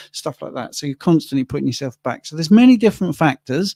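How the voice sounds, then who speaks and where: A man speaks with lively intonation and a dark, mellow tone. The sound is dry and close with no echo, and the recording is very clean against a silent background. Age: 60s. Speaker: livestream co-host, carnivore diet influencer. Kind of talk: livestream Q&A. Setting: livestream.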